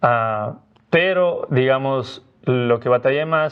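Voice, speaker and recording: A man speaks with a Cuenca Ecuadorian accent. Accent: Cuenca Ecuadorian, sing-song. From Ecuador, Cuenca. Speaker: missionary Bible teacher, former student. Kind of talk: podcast interview.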